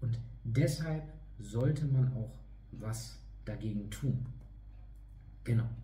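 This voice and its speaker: A man talks very slowly, leaving long, frequent pauses, with audible room echo and noticeable background noise around him. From northern Germany, East Frisia (Leer). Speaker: fitness trainer. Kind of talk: online lecture. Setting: online video talk.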